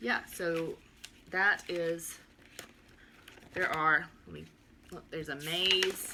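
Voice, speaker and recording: A woman with a Southern US accent speaks at a very slow pace and fairly low pitch, with long, frequent pauses and big swings in loudness over noticeable background noise. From US South, southern Alabama. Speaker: homeschooling mom vlogger. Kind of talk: casual video chat, curriculum walkthrough. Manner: animated.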